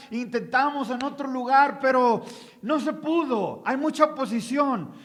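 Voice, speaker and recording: Audible room echo surrounds a man speaking at a moderate pace. His pitch is extremely high. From Mexico. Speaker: pastor and missionary. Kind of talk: sermon. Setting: conference hall with audience.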